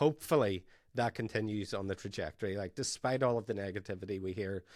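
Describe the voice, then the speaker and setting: A man speaks with an Irish accent and fairly even intonation. The recording is very clean, with a silent background. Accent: Irish brogue. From Ireland. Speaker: podcast host, tech company founder. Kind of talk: interview podcast.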